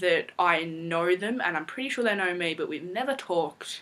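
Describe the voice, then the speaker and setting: In an Australian accent, a woman speaks at a moderate pace with lively intonation and a bright, sharp tone. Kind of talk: casual Q&A talk to camera.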